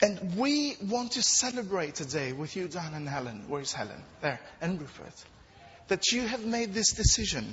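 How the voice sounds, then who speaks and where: A man speaks at a high pitch with a non-native accent and very wide pitch swings. Noticeable background noise runs underneath. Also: moderate pace. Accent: foreign-accented English. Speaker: preacher. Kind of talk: sermon. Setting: church.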